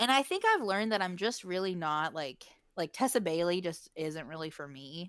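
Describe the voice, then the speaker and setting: A normal speaking voice with an American accent, lively intonation and a moderate pace on a very clean recording with a silent background. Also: woman, fairly low pitch for a woman. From West Virginia. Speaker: podcast co-host. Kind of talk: casual chat.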